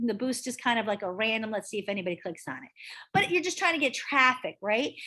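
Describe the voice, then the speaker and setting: Over a quiet background, a woman speaks at a fairly quick pace with very wide pitch swings. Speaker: real estate trainer. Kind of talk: online training session. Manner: fast. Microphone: video call.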